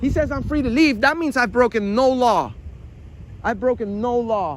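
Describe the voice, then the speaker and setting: The man's voice sits at an extremely high pitch, moving at a moderate pace with ordinary pitch variation. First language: not English. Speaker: citizen auditor filming police. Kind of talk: confrontation with police. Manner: halting, repeating words.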